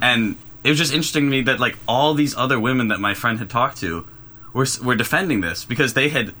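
Words pour out of this man very fast. His accent is American. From US Midwest, Oak Park, Illinois. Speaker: college student. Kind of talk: casual chat.

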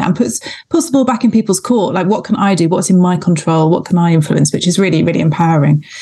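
At a very fast pace, a woman with a medium pitch, a somewhat breathy, dark, mellow tone and ordinary pitch variation speaks. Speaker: GP and podcast co-host. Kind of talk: casual panel chat.

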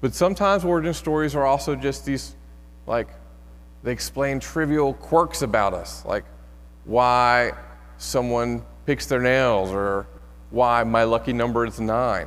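There is audible room echo as a man talks with long, frequent pauses. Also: fairly slow pace. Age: 30s. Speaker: pastor. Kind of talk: sermon. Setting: church. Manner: casual, humorous delivery.

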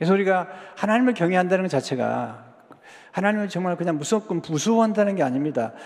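A man with a high voice speaks at a very fast pace. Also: lively intonation. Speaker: pastor. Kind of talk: sermon. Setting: church. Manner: imprecise pronunciation of some sounds.

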